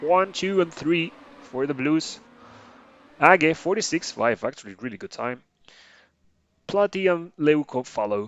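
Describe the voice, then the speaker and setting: With a non-native accent, a man speaks at a fairly slow pace with lively intonation. He leaves long, frequent pauses. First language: not English. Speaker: esports caster. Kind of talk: live commentary. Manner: hesitant, many fillers.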